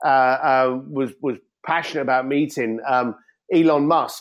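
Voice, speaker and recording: A man talks with an East London accent. His pace is moderate and his pitch variation ordinary. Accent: East London (Cockney-tinged) English. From East London, England. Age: 50s. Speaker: entrepreneur and author. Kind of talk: podcast interview.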